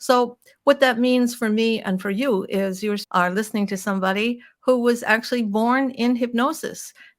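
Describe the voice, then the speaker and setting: A woman with a fairly high pitch uses an ordinary speaking voice at a moderate pace, with hardly any pauses and fairly even intonation. The recording is very clean, with a silent background. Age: 60s. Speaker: hypnotist and vegan advocate. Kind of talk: podcast interview monologue.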